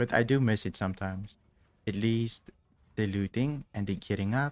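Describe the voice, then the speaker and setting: Soft-spoken, this man has a fairly low pitch and fairly even intonation. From South Africa. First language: Afrikaans. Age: 30s. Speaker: video game streamer. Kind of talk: live gameplay commentary. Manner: calm, not loud.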